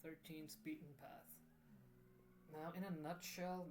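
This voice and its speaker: A non-native accent at a fairly slow pace. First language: not English. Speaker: gaming video creator. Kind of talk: casual tutorial voiceover. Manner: halting, many fillers.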